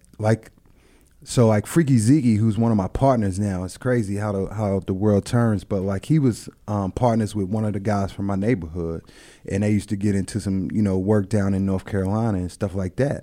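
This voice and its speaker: With an American accent, a man talks fairly quickly in a fairly low voice with fairly even intonation, an unremarkable speaking voice. The recording is very clean, with a silent background. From Virginia, Prince George near Richmond. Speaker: former football player and music promoter. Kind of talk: casual interview.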